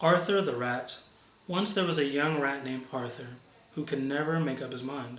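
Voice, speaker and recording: Amid noticeable background noise, a man with an American accent speaks at a fairly high pitch and moderate pace, his pitch varying in an ordinary way. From Brooklyn, New York. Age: 30s. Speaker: university campus minister. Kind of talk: read-aloud story passage.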